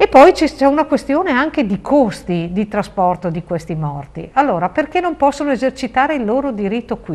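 A woman's high-pitched voice with very wide pitch swings, at a fairly quick pace with hardly any pauses. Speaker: local politician. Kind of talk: interview. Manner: animated. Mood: earnest, persuasive. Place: studio. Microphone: lapel.

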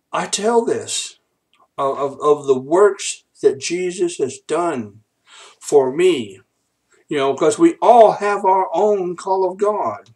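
Lively intonation and big swings in loudness mark this man's speech. He talks at a very slow pace with long, frequent pauses against a quiet background. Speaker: minister. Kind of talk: preaching ministry update vlog. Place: home room. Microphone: webcam.

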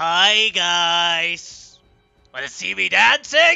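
With faint music in the background, a speaker does a put-on character voice at a very slow pace. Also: man. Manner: cheerful, silly.

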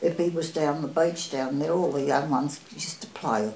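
A woman's very deep, low voice at a moderate pace with ordinary pitch variation, audible room echo and light background noise. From Australia. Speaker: oral history interviewee. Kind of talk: oral history interview answer. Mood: fond, nostalgic. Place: home room.

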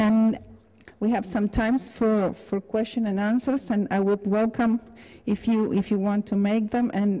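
A woman speaks with a dark, mellow tone. Her pace is fairly slow.

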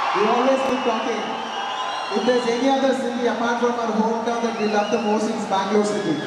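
A man talks at a very fast pace, with crowd noise in the background. The room echo is audible. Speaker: guest. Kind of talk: stage speech. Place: stage.

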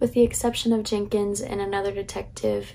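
Her voice sits at medium pitch with a slightly mellow tone and vocal fry, and the woman keeps a moderate pace.

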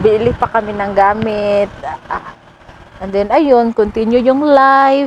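Over noticeable background noise, a woman speaks very slowly at a fairly high pitch. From Philippines, Butuan City (Mindanao). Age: 30s. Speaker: vlogger. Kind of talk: casual chat. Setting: outdoors. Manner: halting.

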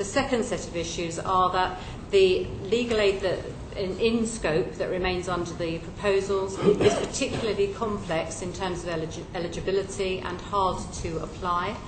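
A woman talks at a moderate pace with fairly even intonation as noticeable background noise carries on. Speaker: witness. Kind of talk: interview answer. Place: hall.

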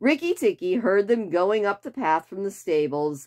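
What you hear is someone using an unforced reading voice.

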